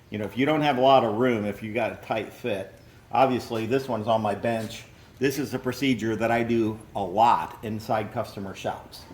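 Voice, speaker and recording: A man with an American accent has a plain, everyday voice, medium pitch, fairly even intonation and a moderate pace. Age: 60s. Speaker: machine repair technician. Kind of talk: tutorial. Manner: casual.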